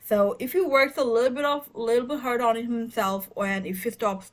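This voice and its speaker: Moderately paced speech comes in a somewhat breathy voice whose pitch varies normally. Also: woman. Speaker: tarot reader. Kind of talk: tarot reading monologue. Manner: hesitant, many fillers.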